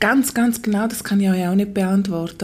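With a normal speaking voice, this woman talks at a medium pitch and fairly even intonation. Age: 40s. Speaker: midwife. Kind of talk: interview, personal testimony.

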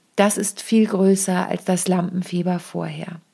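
A woman's somewhat breathy, medium-pitched voice at a fairly slow pace. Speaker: podcast host and stage performance coach. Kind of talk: solo podcast tutorial.

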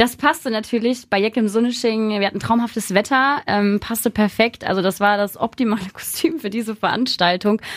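A female speaker keeps a fairly quick pace while noticeable background noise sits behind her. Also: fairly high pitch for a woman, ordinary pitch variation. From Rhineland, Germany (Hersel, near Bonn). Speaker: Instagram costume creator. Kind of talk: casual interview.

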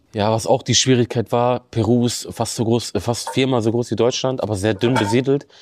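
A man with an unremarkable speaking voice talks at a moderate pace with hardly any pauses. His medium pitch carries fairly even intonation, and his loudness stays very even. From Bremen, northern Germany. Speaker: extreme runner. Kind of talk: interview. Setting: studio.

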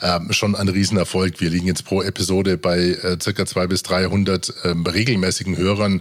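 A man with a very deep, low voice. He speaks at a moderate pace. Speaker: podcast host and producer. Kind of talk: casual chat. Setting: studio.

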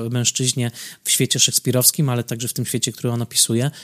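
Medium in pitch, a man speaks with fairly even intonation and a dry, close sound with no echo. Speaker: film critic podcaster. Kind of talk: solo film commentary.

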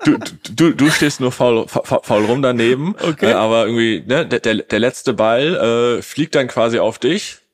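A man speaks in a plain, everyday voice at medium pitch. His pace is fairly slow, with ordinary pitch variation and very even loudness. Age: 20s. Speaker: social media ads agency owner. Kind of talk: podcast interview. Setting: office.

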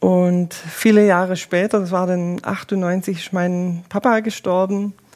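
The intonation stays monotone and flat. This woman's voice rests at a medium pitch. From Swabia, southern Germany (Eislingen). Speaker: volunteer pilgrim companion. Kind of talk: interview.

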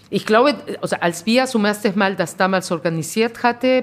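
A woman speaks with a Spanish accent and ordinary pitch variation. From Peru. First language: Spanish (speaking German). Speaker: restaurant owner. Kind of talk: interview. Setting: in her restaurant.

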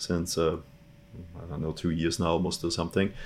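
Speaking with a German accent, a man talks in a very deep, low pitch. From Austria. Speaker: database product manager. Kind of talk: casual interview.

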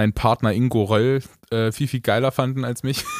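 A man talks in a plain, everyday voice at a fairly quick pace with fairly even intonation. The recording is very clean, with a silent background. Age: 20s. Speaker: singer and podcast co-host. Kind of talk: casual chat.

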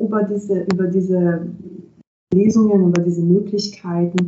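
In a flat monotone, a woman talks at a fairly slow pace. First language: Italian (speaking German). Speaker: translator and interpreter. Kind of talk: interview.

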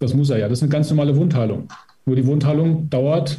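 Amid audible room echo, a man with a fairly high pitch speaks in a dark, mellow, somewhat breathy tone with ordinary pitch variation. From Emsland, northwestern Germany. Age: 50s. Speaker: physiotherapist and training institute head. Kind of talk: interview.

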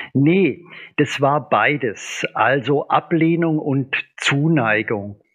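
Speaking at a very slow pace, a man with a fairly high voice uses ordinary pitch variation. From Upper Swabia, southern Germany. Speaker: physician and professor of naturopathy. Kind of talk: casual interview.

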